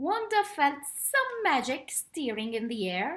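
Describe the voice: What we hear is plain reading aloud.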